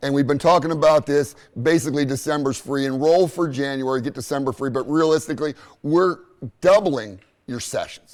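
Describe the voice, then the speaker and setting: Fairly quick speech from a man, fairly high in pitch, with ordinary pitch variation. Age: 60s. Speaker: business owner. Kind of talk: TV talk show interview. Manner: talkative.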